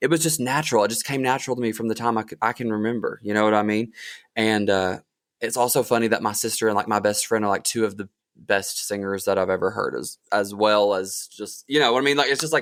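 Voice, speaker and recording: With an Appalachian accent, a man talks at a very fast pace. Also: medium pitch for a man, ordinary pitch variation. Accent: Appalachian Southern US. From southeastern Kentucky, Appalachia. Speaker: singer-songwriter. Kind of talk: casual interview. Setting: podcast.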